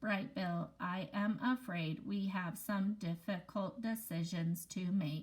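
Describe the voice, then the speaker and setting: A woman speaks in a put-on character voice at a fairly slow pace, with hardly any pauses. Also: medium pitch for a woman. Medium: read story. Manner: calm, measured.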